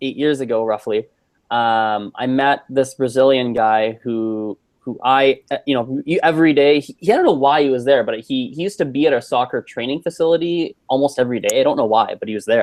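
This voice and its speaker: Here is a man with a Canadian accent and a plain, everyday voice, at a medium pitch and a moderate pace with ordinary pitch variation. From Canada. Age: 20s. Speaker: polyglot. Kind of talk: casual chat.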